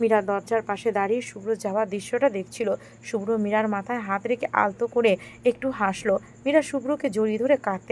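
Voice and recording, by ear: Reading aloud in a natural voice, with typical shifts in pitch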